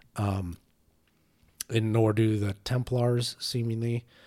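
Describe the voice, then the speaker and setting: The man's tone is dark and mellow, his pitch medium. He speaks at a fairly slow pace with monotone, flat intonation. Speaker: gaming podcast co-host. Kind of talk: casual chat.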